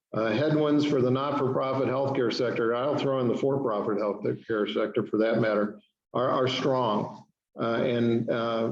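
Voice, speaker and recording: Audible room echo surrounds a man speaking at a moderate pace with a medium pitch and ordinary pitch variation. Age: 60s. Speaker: hospital system executive. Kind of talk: presentation to a civic club. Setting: club meeting. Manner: hesitant, many fillers.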